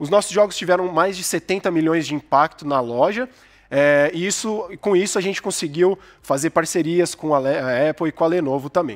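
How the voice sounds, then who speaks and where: Against a quiet background, a man speaks at a moderate pace in a high pitch, with ordinary pitch variation. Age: 30s. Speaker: game studio founder. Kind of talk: startup pitch. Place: stage. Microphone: headset.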